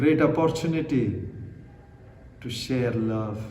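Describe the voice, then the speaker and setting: Over noticeable background noise, the speaker goes at a very slow pace in a calm tone with ordinary pitch variation. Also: man. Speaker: Buddhist monk, meditation guide. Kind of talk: guided meditation. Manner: slow, calm.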